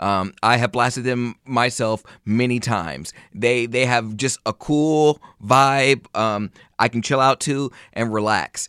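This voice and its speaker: In a very clean recording with a silent background, a man speaks in a bright, sharp tone with ordinary pitch variation. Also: medium pitch for a man, fairly slow pace. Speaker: podcast host. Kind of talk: casual solo podcast monologue. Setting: home recording in living room or bedroom. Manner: loud, projecting.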